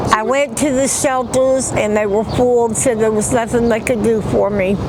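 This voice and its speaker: Audible room echo surrounds a woman with a fairly high voice talking at a moderate pace. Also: fairly even intonation. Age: 60s. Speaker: homeless woman interviewed on the street. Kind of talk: street interview testimony. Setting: outdoors in a parking lot.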